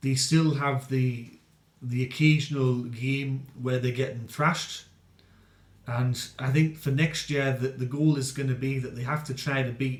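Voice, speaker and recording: Speaking at a fairly slow pace, this man has a medium pitch, a somewhat breathy quality, and a monotone, flat intonation. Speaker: rugby league commentator. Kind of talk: casual sports review to camera.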